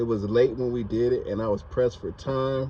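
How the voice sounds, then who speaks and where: The voice has a dark, mellow tone, somewhat breathy, with fairly even intonation. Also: man. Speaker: car repair vlogger. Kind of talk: tutorial. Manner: casual.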